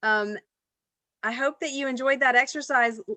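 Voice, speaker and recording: Pitched high with a bright, sharp tone, a woman speaks at a fairly slow pace. Her pitch varies in an ordinary way, and the sound is dry and close with no echo. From Louisiana (Baton Rouge). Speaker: workshop facilitator. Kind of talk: online workshop discussion.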